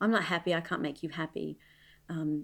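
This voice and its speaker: A woman with an Australian accent is heard on a very clean recording, the background silent. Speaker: mom and former professional dancer. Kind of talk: casual interview.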